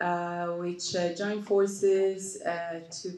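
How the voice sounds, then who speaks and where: A woman speaks at a fairly low pitch, and room echo can be heard. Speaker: panelist. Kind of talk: panel discussion answer. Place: stage.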